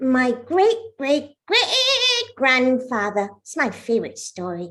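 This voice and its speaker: A woman puts on a character voice, high-pitched and at a fairly slow pace. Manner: cheeky, self-centred.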